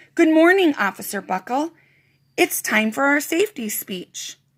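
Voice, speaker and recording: In a put-on character voice, a woman sounds raspy and high-pitched, with very wide pitch swings. She keeps a moderate pace on a very clean recording with a silent background. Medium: read story.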